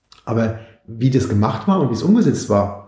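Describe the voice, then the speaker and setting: A man speaks with lively intonation, somewhat breathy and dark, mellow in tone. There is audible room echo. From Mainz, Germany. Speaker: cyclist and e-bike expert. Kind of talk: casual interview.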